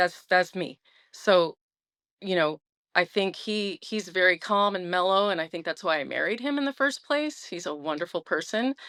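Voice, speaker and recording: A loud woman speaks at a medium pitch with lively intonation and an animated tone. The recording is very clean, with a silent background. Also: moderate pace. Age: 50s. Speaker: guest sharing recovery story. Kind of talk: interview testimony.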